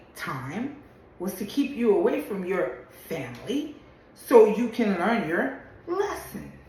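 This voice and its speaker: Animated and fairly high-pitched, a woman talks at a fairly slow pace with very wide pitch swings. The room echoes audibly and there is noticeable background noise. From Louisiana. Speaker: social media commentator. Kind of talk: opinion monologue video.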